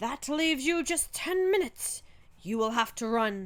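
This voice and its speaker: A woman puts on a high-pitched character voice at a moderate pace. The recording is very clean, with a silent background. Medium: read story.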